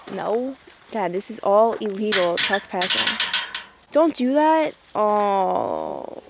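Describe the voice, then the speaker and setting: Very slow speech over loud background noise, with a dry sound and no echo. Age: young. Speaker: vlogger. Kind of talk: casual vlog talk. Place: open country. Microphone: phone near.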